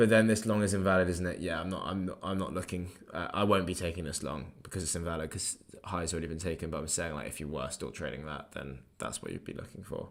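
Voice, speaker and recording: Very fast and very deep, a man's low-pitched voice carries vocal fry. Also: ordinary pitch variation. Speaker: trading livestreamer. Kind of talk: live stream chat and trading commentary. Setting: livestream.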